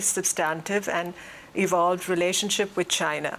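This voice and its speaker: Medium-pitched speech from a woman, with noticeable background noise. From India. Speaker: diplomat. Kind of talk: panel discussion. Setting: stage with audience.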